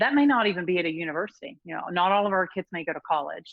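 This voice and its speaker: Speech in a West Texas accent comes at a very fast pace with lively intonation. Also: woman. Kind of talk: podcast interview answer.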